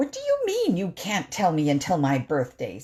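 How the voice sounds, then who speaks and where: Someone growls through a put-on character voice at a middle pitch and a moderate pace. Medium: read story. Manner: excitable.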